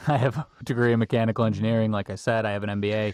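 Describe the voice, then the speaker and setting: With an American accent and fairly even intonation, a man speaks in a fairly low pitch over a quiet background. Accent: Boston accent, faint when sober. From Boston. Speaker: construction executive. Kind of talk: casual interview chat.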